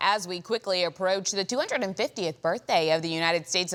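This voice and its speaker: A woman's fairly low-pitched voice at a fairly quick pace, with ordinary pitch variation and noticeable background noise. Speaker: TV morning show host. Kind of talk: TV talk show host intro.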